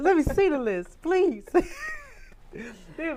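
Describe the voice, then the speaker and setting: A woman speaks at a fairly slow pace, her pitch swinging very widely in an animated tone. Music plays in the background. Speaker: singer. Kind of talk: interview.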